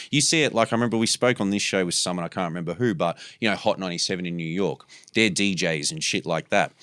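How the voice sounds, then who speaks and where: Very fast speech from a man with an Australian accent, very deep, low pitch and lively intonation, on a very clean recording with a silent background. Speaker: podcast host. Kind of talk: casual chat. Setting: studio. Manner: profane, laid-back.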